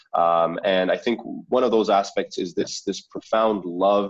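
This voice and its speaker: Here a man speaks with a Canadian accent. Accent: sounds natively Canadian. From Saudi Arabia, then Canada from age 11. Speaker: startup founder. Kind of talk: interview. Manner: articulate, repeats words when starting sentences.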